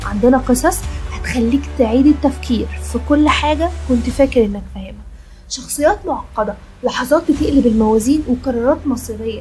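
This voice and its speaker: Over music in the background, a woman talks at a moderate pace with an Egyptian accent. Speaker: film recap narrator. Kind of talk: channel promo narration. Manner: casual, conversational.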